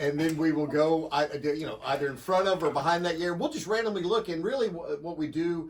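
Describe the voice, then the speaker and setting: Speaking at a moderate pace with ordinary pitch variation, a man has a fairly high, unremarkable speaking voice. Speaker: radio show co-host. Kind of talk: casual phone interview answer.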